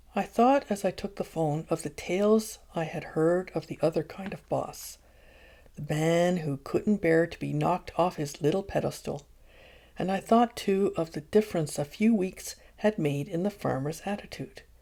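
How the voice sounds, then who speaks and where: Soft-spoken and gentle, a woman talks in a dark, mellow tone on a very clean recording with a silent background. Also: fairly low pitch for a woman, ordinary pitch variation, moderate pace. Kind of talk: ASMR audiobook reading, gentle bedtime-style. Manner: gentle, soft, with laughter.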